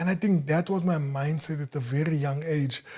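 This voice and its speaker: A man's somewhat breathy, dark, mellow voice, fairly high in pitch, at a moderate pace. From South Africa, Eldorado Park. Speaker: entrepreneur. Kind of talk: interview conversation. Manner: halting, repetitive.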